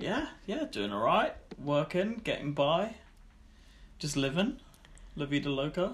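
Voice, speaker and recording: A man with a British accent speaks in a high pitch, with very wide pitch swings. His pace is fairly slow, broken by long, frequent pauses. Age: 20s.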